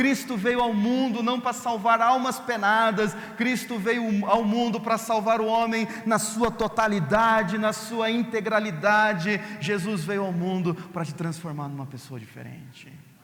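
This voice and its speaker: High in pitch, a man speaks at a fairly slow pace with ordinary pitch variation and hardly any pauses. Noticeable background noise runs underneath. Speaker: pastor. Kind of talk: sermon.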